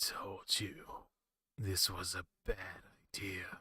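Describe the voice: Hissing and raspy, a man talks very slowly in a put-on character voice.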